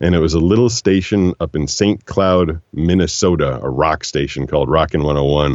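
A man with a very deep, low voice and vocal fry speaks at a moderate pace with ordinary pitch variation and hardly any pauses. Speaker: voiceover actor. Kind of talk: casual interview.

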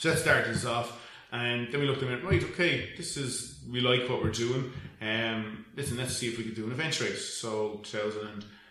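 With a Dublin accent, a man of medium pitch talks at a fairly quick pace with ordinary pitch variation, amid noticeable background noise and audible room echo. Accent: Irish (Dublin). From Ireland, north County Dublin. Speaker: event management company co-owner. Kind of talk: casual interview.

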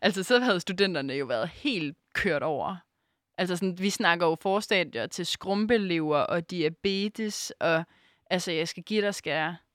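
A woman with a fairly low pitch, an unremarkable speaking voice and lively intonation talks at a fairly slow pace. The recording is very clean with a silent background and a dry, close sound with no echo. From Denmark, Aarhus. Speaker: radio host. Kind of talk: casual chat.

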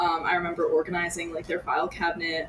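A woman at a very fast pace with fairly even intonation, over noticeable background noise. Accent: American. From US Northeast. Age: 20s. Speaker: university student. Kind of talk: casual interview.

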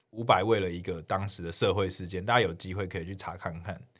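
This man talks at a fairly quick pace. The recording is very clean, with a silent background. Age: 30s. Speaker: guest co-host. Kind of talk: casual chat.

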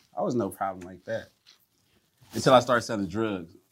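A man with an American accent, vocal fry and a moderate pace. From US East Coast. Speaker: rapper. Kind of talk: casual chat. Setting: kitchen.

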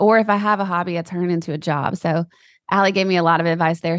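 An ordinary speaking voice from a woman, fairly low in pitch, with ordinary pitch variation and a fairly quick pace. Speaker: podcast host. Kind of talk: casual chat.

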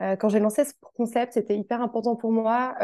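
Against a quiet background, a woman speaks at a fairly quick pace in a dark, mellow tone, her fairly high pitch held in a monotone, flat intonation. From France, Tours. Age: 20s. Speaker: wellness box founder. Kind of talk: interview. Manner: hesitant with fillers.

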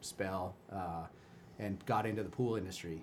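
Audible room echo surrounds a man with an American accent who speaks at a moderate pace in a very deep, low pitch with fairly even intonation. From Chicago, US Midwest. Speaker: youth cycling race director. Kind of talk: casual interview chat.

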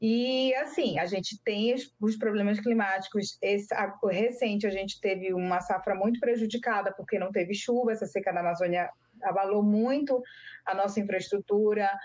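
A woman with an unremarkable speaking voice talks at a medium pitch and moderate pace, with ordinary pitch variation and very even loudness. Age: 30s. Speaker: cocoa farmer and lawyer. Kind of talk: interview. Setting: video call.

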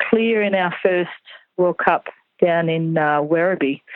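Female speech with an Australian accent. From rural New South Wales, Australia. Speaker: show jumping coach. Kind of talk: casual interview.

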